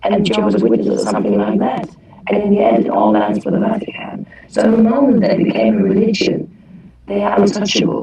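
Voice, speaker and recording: Over noticeable background noise and audible room echo, a woman speaks at a fairly quick pace with very even loudness. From Germany. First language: German. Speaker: former Jehovah's Witness participant. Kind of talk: group discussion. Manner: halting.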